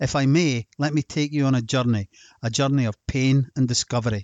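A man with a Scottish accent at a moderate pace. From Scotland. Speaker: health podcast host and supplement seller. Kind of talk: scripted narration.

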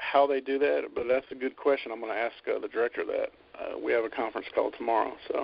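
Talking very fast, a man speaks in a Southern US accent. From Alabama. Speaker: chef and caterer. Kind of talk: interview.

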